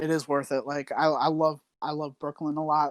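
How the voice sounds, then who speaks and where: A man's fairly high voice with a slight New York accent, dry and close with no echo, on a very clean recording with a silent background. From New Jersey, US. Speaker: online quiz game player. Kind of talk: casual interview chat. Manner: many fillers and hesitations.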